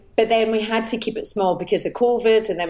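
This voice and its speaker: A woman speaks with a Glaswegian accent at a fairly high pitch. Her pace is fairly quick and her intonation fairly even. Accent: Glaswegian Scottish. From Scotland, north Glasgow. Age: 40s. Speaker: actor. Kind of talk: casual chat.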